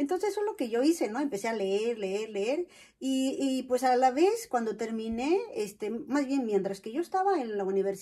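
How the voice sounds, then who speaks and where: A woman's high-pitched, dark, mellow voice with very wide pitch swings at a moderate pace, against a quiet background. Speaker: vlogger; personal storyteller. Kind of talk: personal testimony. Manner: hesitant, many fillers. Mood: warm, smiling, reflective. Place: home room. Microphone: camera far.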